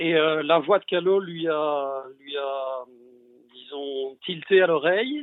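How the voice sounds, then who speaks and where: In a fairly high pitch with ordinary pitch variation, a man talks at a very slow pace. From Belgium. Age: 50s. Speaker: longtime fan. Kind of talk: casual chat.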